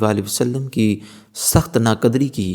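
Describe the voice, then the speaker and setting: This man has a normal speaking voice. It sits at a medium pitch and varies in an ordinary way. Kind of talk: Islamic religious narration.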